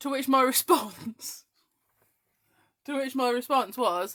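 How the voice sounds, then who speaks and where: With an English accent, a woman talks at a fairly slow pace and a high pitch. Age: 30s. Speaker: craft demonstrator. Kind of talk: live-stream craft chat. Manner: animated.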